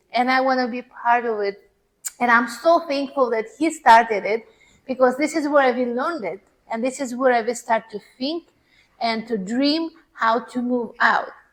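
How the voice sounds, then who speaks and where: A woman with a non-native accent, a high pitch, ordinary pitch variation and a moderate pace. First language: not English. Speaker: seminar speaker. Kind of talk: testimony with slide presentation.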